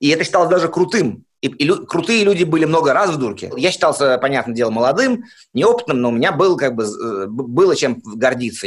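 His pitch swings very widely. This man speaks in a fairly high register. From Soviet Union. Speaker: interviewee with psychiatric diagnoses. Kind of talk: interview testimony. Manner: halting, with self-repetitions.

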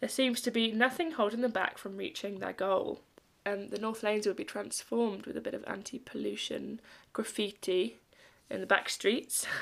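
With a fairly high pitch and vocal fry, a woman talks at a moderate pace on a very clean recording with a silent background. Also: ordinary pitch variation. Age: 20s. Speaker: radio host. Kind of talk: casual chat. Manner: animated.

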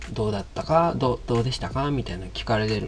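Music plays in the background as a man talks with a Kansai accent. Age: 30s. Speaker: podcast host, coffee vendor. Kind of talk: casual monologue. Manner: halting.

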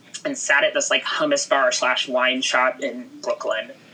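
Noticeable background noise behind a woman with an American accent at a moderate pace. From Houston, Texas. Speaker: news executive. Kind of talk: casual interview.

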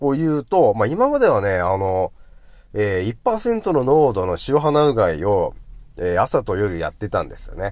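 In a very clean recording with a silent background, a man speaks at a moderate pace with big swings in loudness. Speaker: radio host. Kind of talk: casual solo radio talk. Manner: rambling, filler-heavy, conversational.

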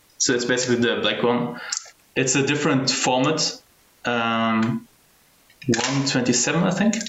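A man of medium pitch speaks with very even loudness at a fairly slow pace, pausing long and often. Audible room echo and noticeable background noise fill the recording. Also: ordinary pitch variation. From Germany. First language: Arabic. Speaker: film photography community curator. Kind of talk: casual chat.

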